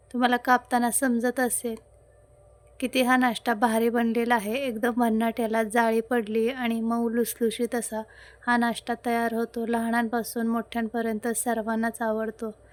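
The recording is very clean, with a silent background. A woman speaks at a fairly high pitch with monotone, flat intonation. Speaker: cooking channel host. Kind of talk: cooking tutorial. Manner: chatty, conversational.

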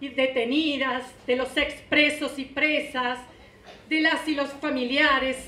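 Projecting a raised voice at a very slow pace, a woman speaks with monotone, flat intonation amid audible room echo. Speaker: presenter. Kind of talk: formal speech read aloud. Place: hall. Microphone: podium.

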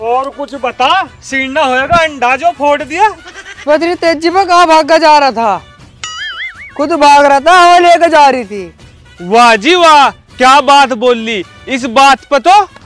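A man speaks with an extremely high pitch and ordinary pitch variation, in a dry sound with no echo and faint music in the background. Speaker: comedy skit actor. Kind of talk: scripted comedic dialogue. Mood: argumentative, mocking. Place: open country. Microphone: lapel.

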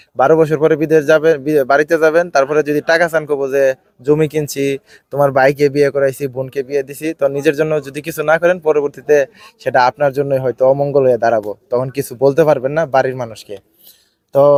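A man speaks in an unremarkable speaking voice, fairly high in pitch, with fairly even intonation. The sound is dry and close with no echo. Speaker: video blogger. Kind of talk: interview; address to viewers.

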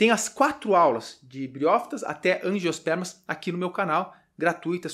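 Lively intonation carries a man's high voice. The background stays quiet. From Brazil. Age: 30s. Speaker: biology teacher. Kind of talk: online lecture. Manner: animated. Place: home room.

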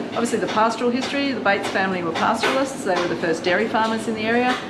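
Ordinary pitch variation over loud background noise. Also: woman. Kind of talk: interview answer. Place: shop. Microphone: phone near.

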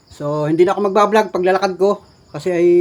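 Very fast in pace, a man talks at a high pitch. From Philippines. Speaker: vlogger. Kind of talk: casual vlog narration. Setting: outdoors. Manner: animated. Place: home room. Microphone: phone near.

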